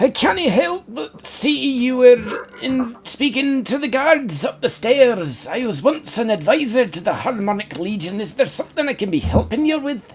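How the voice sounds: A man's put-on character voice in a Welsh accent, extremely high and squeaky, at a moderate pace with hardly any pauses.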